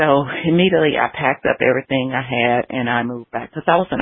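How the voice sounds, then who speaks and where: Here a woman talks at a very fast pace. Her pitch variation is ordinary. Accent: Alabama. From Alabama, US South. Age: 50s. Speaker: holistic health counselor. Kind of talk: interview. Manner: warm, polite.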